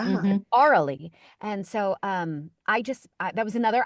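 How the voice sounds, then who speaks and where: Energetic and upbeat, a woman talks with lively intonation in a dry, close sound with no echo and a quiet background. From New York City. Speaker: voice actor. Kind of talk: interview answer. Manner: energetic, upbeat.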